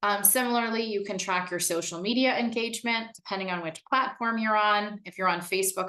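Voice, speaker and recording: Over a quiet background, a woman speaks fairly quickly at a medium pitch, her tone bright and sharp with ordinary pitch variation. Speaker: marketing director leading a workshop. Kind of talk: online workshop presentation.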